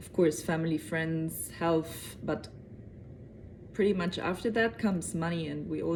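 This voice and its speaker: Speaking at a fairly slow pace, this woman has a fairly low pitch, a dark, mellow tone and vocal fry. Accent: German. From Germany. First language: German. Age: 30s. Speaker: convert telling her story. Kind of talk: personal testimony to camera. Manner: hesitant with fillers.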